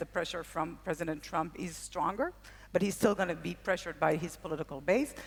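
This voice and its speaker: A woman's voice, fairly low in pitch. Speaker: panel moderator. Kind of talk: panel discussion. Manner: fast.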